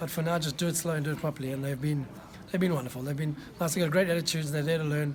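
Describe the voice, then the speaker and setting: Somewhat breathy speech comes at a very fast pace in a flat, monotone intonation. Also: man, fairly high pitch for a man. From South Africa. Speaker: executive chef. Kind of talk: interview. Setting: food tasting event.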